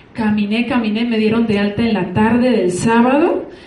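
Over noticeable background noise and audible room echo, a woman with a fairly high pitch talks at a moderate pace. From Colombia, rural Antioquia. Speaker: network marketing distributor. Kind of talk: testimony.

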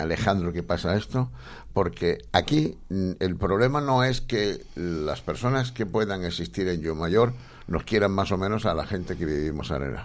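The man's very deep, low voice moves along at a fairly slow pace. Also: lively intonation. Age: 40s. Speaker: radio host. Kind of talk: radio interview and political chat.

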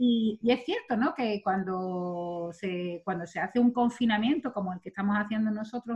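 A woman talks in an unremarkable speaking voice. Her pitch is fairly high and her intonation lively. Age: 40s. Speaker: podcast host. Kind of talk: guest introduction; casual chat.

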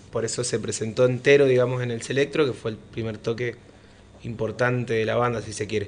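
Moving at a fairly quick pace, a man talks at medium pitch with a monotone, flat intonation. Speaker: rock musician. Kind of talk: radio interview. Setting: radio studio.

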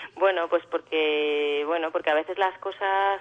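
Her pitch fairly low, a woman talks at a fairly slow pace with monotone, flat intonation. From Alicante, Spain. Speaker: actress and singer. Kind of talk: interview.

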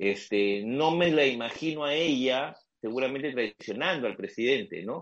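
Lively intonation colors a man's medium-pitched voice, delivered at a moderate pace. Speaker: journalist. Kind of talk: casual chat.

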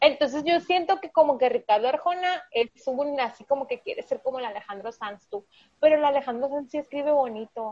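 The speech comes at a fairly quick pace with big swings in loudness, in a dry, close sound with no echo. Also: woman, high pitch for a woman. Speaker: podcast co-host. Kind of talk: casual chat.

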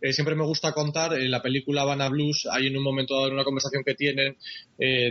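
A man's fairly high-pitched voice at a very fast pace, monotone and flat, amid noticeable background noise. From Spain. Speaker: journalist. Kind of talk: interview.

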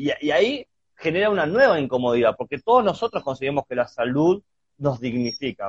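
A man talks in an ordinary speaking voice with a fairly high pitch. His pace is moderate and his pitch varies in an ordinary way. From Argentina (Chubut, Patagonia). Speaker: podcast host. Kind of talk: casual conversation about health and philosophy. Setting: video call / Instagram live. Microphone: connection glitch.

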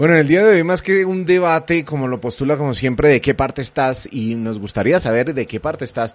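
With lively intonation, a man talks while noticeable background noise carries on. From Colombia. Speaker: radio host. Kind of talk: live panel discussion hosting. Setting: live streamed radio studio.

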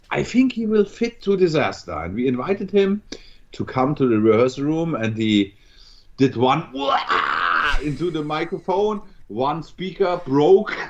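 This man speaks with a German accent at a fairly slow pace. His fairly high pitch makes very wide swings. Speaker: metal musician. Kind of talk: interview. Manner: halting.

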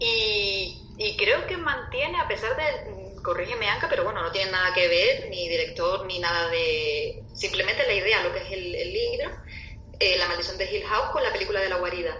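In a room with audible echo and noticeable background noise, a woman speaks at a moderate pace. She has a Canarian accent. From Canary Islands. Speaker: film discussion panelist. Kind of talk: casual chat.

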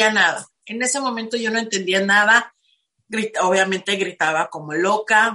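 A woman speaks in a bright, sharp tone at a fairly high pitch. Her pace is moderate and her pitch variation ordinary. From Mexico, Tijuana. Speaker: spiritual life coach. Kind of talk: interview testimony.

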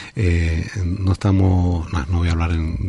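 His tone is dark and mellow. A man speaks with some breathiness. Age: 50s. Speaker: politician. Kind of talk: radio interview. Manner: halting.

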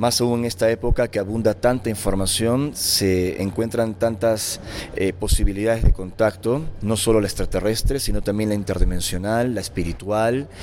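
Noticeable noise fills the background. The man's voice is fairly low in pitch. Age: 40s. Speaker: author and lecturer on alien contact. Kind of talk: interview.

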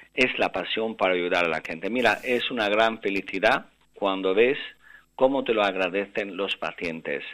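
Recorded very cleanly against a silent background, a man with a fairly low pitch and a bright, sharp tone speaks at a moderate pace with ordinary pitch variation. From Albanian father, Spanish mother; mother lived in Russia. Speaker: neurosurgeon. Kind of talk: interview.

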